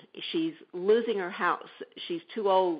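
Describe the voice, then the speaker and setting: A woman speaks at a medium pitch. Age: 60s. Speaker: entrepreneur, shared-housing service founder. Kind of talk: interview. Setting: radio show.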